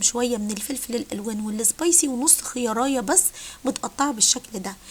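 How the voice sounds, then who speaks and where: High-pitched female speech full of lively intonation. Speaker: cooking channel host. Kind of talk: cooking tutorial.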